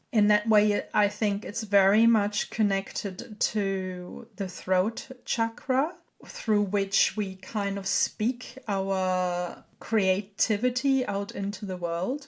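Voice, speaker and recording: Speaking at a very slow pace in a German accent, a woman uses a medium pitch and fairly even intonation. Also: hardly any pauses. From Germany. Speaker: podcast host, artist and herbalist. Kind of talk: solo podcast talk. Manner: halting.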